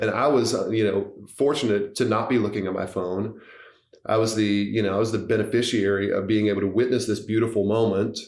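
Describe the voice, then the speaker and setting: Speaking very fast with an American accent, a man uses a fairly low pitch, and audible room echo surrounds his voice. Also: fairly even intonation. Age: 40s. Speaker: tech company co-founder. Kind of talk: podcast interview.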